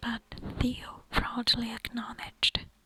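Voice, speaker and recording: Against noticeable background noise, a whisper moves along at a very slow pace. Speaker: ASMR creator. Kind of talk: nonfiction book reading. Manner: whispered.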